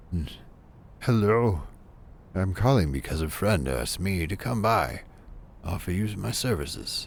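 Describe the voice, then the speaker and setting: A breathy, put-on character voice swings very widely in pitch at a moderate pace, broken by long, frequent pauses over clear background noise. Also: man, very deep, low pitch for a man. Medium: game stream. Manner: stammering, apologetic, nervous.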